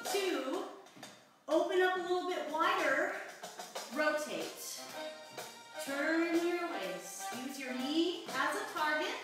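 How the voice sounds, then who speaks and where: A woman speaks at an extremely high pitch and a very slow pace, with long, frequent pauses, strong room echo and clear music in the background. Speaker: fitness instructor. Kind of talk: tutorial. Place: home room. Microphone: camera far.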